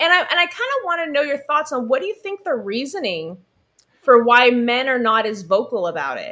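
In an American accent, a woman speaks in a raised, projected voice at a fairly quick pace, her high pitch swinging very widely in an animated tone. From California. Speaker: podcast host. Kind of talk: casual chat.

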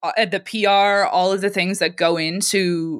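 Speaking at a fairly slow pace with a Canadian accent, a woman has an unremarkable speaking voice and ordinary pitch variation. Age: 20s. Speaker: musician. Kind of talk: casual chat.

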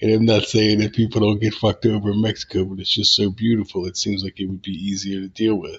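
With hardly any pauses, a man rushes along at a very fast pace in a fairly low, somewhat breathy voice, his intonation monotone and flat. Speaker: podcast host and author. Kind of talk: casual chat, podcast intro and outro. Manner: casual, rambling, halting with fillers.

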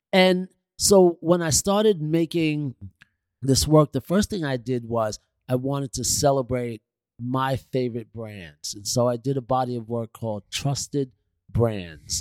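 A man with a New York accent at a medium pitch, fairly slow and with lively intonation, in a dry, close sound with no echo. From New York City, Queens. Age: 60s. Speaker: visual artist and designer. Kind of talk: interview conversation.

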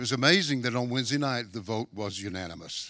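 Lively intonation rides a fairly quick pace in a man's medium-pitched voice with a bright, sharp tone. The recording is very clean, with a silent background. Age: 70s. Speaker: missionary. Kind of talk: sermon. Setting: church.

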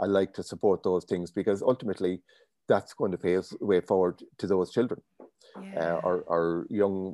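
With an Irish accent, a man speaks at a moderate pace in a very deep, low pitch and a dark, mellow tone. Intonation is fairly even, and the sound is dry and close with no echo against a quiet background. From Ireland, County Leitrim. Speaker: business owner. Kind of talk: interview.

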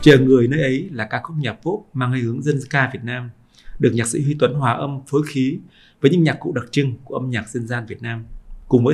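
Somewhat breathy, a man speaks at a fairly quick pace, his medium pitch showing ordinary variation. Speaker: podcast host and journalist. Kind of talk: scripted narration.

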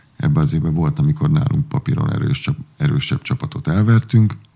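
Noticeable background noise accompanies a man speaking at a moderate pace in a fairly high pitch with ordinary pitch variation. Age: 40s. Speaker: water polo coach, former player. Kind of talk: casual interview chat.

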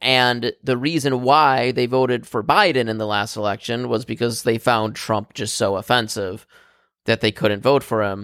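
A man with an unremarkable speaking voice talks at a moderate pace in a medium pitch, with fairly even intonation and a dry, close sound with no echo. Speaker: podcast host. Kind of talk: casual banter among friends. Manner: joking, laughs often.

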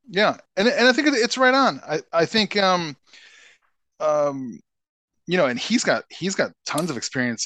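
In a raised, projected voice with a bright, sharp tone and an American accent, the speaker uses very wide pitch swings. The pace is fairly slow with long, frequent pauses, and the sound is dry and close with no echo. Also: man, high pitch for a man, quiet background. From Chicago, US Midwest. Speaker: entrepreneur. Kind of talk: interview. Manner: halting.

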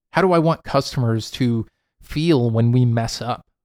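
Recorded very cleanly against a silent background, a man with an unremarkable speaking voice talks at a medium pitch with ordinary pitch variation. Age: 30s. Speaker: podcast host, entrepreneur. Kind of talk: solo monologue podcast. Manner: casual, with frequent fillers.

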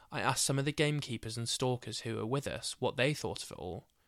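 A man speaks in a plain, everyday voice. His pitch is medium, with ordinary variation. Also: very clean recording, silent background. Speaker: podcast host. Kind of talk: scripted true-crime style narration with casual chatty intro. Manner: casual, chatty, jokey in intro.

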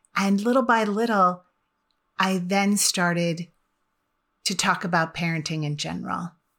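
Speaking at a moderate pace with long, frequent pauses, a woman uses a medium pitch and ordinary pitch variation on a very clean recording with a silent background. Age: 50s. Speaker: personal development coach and podcast host. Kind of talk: solo podcast monologue. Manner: conversational.

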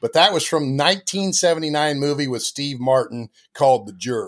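A man talks at a moderate pace. His pitch is medium, with ordinary variation.

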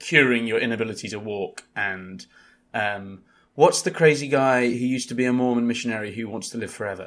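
A man with a British accent is heard on a very clean recording over a silent background. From UK. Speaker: journal editor and podcast host. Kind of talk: casual book discussion.

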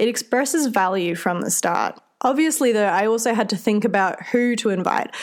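A woman with a fairly high pitch speaks at a fairly quick pace, her pitch varying in an ordinary way. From central Australia. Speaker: podcast host and youth group leader. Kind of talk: solo podcast talk. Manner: friendly, conversational.

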